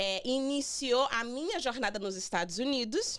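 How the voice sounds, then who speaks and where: With lively intonation and a fairly high pitch, a woman in an ordinary speaking voice talks at a fairly slow pace. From Brazil. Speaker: immigration lawyer hosting radio show. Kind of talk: radio interview with guest. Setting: radio studio.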